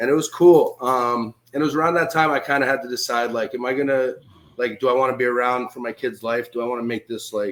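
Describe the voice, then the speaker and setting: A man with an American accent talks at a very fast pace, his intonation fairly even. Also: medium pitch for a man. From New York / Connecticut area. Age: 30s. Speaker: professional wrestler. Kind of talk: casual interview. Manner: casual, filler-heavy.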